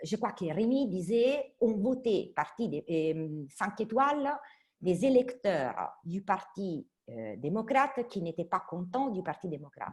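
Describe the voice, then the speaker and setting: A woman with an Italian accent, very slow, with very wide pitch swings and big swings in loudness. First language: Italian (speaking French). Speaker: politician and academic. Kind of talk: online panel debate.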